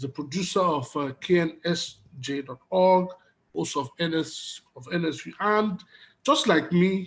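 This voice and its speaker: With a Nigerian accent, a man speaks in a high pitch at a moderate pace, showing ordinary pitch variation and big swings in loudness. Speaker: conference moderator. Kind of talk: online conference moderation.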